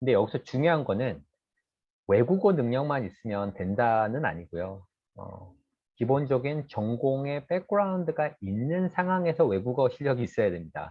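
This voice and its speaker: A man talks at medium pitch and a moderate pace. His pitch swings very widely. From South Korea. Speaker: industry researcher giving career lecture. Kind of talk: lecture. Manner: hesitant fillers.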